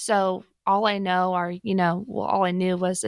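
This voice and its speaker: A woman with an American accent speaks at a medium pitch in a monotone, flat delivery, recorded very cleanly against a silent background with a dry, close sound and no echo. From US Pacific Northwest (Portland, Oregon). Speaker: financial firm staff member. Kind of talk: interview.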